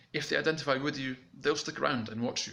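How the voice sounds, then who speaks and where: Over noticeable background noise, a man's speech runs at a fairly quick pace. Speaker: YouTube coach. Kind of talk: tutorial. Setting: home recording. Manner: mumbling when excited; casual, fast.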